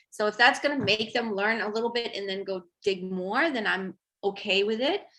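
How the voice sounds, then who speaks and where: A woman's fairly high, bright and sharp voice with a Romanian accent, at a moderate pace with ordinary pitch variation. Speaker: tarot artist. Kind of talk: casual chat. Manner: halting.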